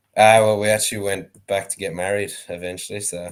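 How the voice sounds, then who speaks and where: On a very clean recording with a silent background, a man talks with monotone, flat intonation. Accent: Irish. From Ireland, County Wexford. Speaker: sheep shearer and dog trainer. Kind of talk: casual chat.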